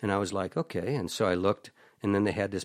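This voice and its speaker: An unremarkable speaking voice moves at a fairly quick pace in a very clean recording with a silent background and a dry, close sound with no echo. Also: man. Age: 60s. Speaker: country singer-songwriter. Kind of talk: casual chat.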